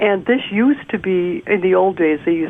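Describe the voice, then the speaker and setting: Through noticeable background noise, a woman with a fairly low voice speaks at a moderate pace with ordinary pitch variation. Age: 70s. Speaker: astrologer and author. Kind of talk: interview conversation.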